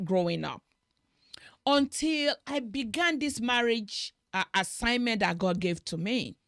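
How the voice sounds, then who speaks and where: In a Nigerian accent, a woman with a fairly high voice talks fairly slowly, her pitch swinging very widely, in a dry, close recording with no echo. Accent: Nigerian (Yoruba) English. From Nigeria (Yoruba-speaking). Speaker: marriage talk show host. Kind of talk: interview conversation.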